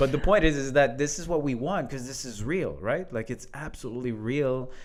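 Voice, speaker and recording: Audible room echo surrounds a man talking at a fairly quick pace in a medium pitch. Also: ordinary pitch variation. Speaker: leadership coach, podcast co-host. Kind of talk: casual conversational podcast.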